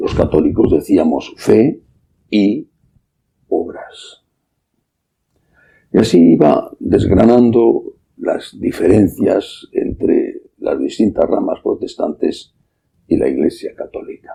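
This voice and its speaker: A man talks at a very slow pace. His speech is broken by long, frequent pauses. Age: 60s. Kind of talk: sermon.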